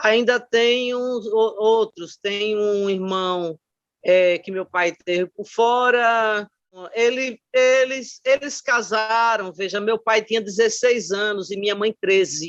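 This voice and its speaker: Her pace is very slow. The woman's pitch variation is ordinary. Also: fairly high pitch for a woman, dry, close sound with no echo. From Brazil, Aracaju (Sergipe). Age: 60s. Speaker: retired teacher and education scholar. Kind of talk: oral history interview testimony. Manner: hesitant, with frequent fillers.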